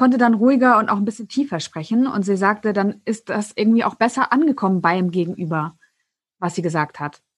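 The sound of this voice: At a fairly quick pace, a woman speaks with a slightly husky edge and ordinary pitch variation.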